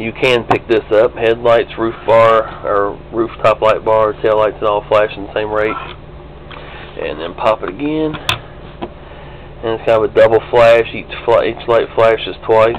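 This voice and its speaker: A man with a Kentucky accent speaks at a fairly slow pace in a medium pitch, his intonation fairly even, with noticeable background noise behind him. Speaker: diecast model hobbyist. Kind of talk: tutorial. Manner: casual, hesitant with fillers. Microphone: cheap small still camera.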